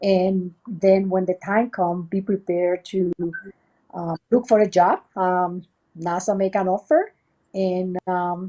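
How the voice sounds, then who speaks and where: A woman with a Puerto Rican accent speaks very slowly in a medium pitch, her tone dark and mellow and her intonation monotone and flat. The sound is dry and close with no echo, over a quiet background. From Puerto Rico. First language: Spanish. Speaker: research center director. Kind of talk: interview. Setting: video webchat. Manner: halting, many fillers.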